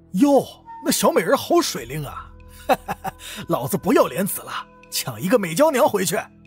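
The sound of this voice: In a put-on character voice, a man speaks at a high pitch with very wide pitch swings and a husky, rough edge. His pace is moderate, with faint music in the background.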